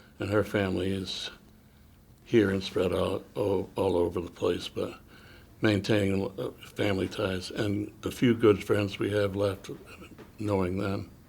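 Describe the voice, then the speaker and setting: Speaking at a fairly slow pace with long, frequent pauses, a man uses a fairly low, somewhat breathy voice and monotone, flat intonation. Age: 80s+. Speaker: interview guest, retiree. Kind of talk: interview.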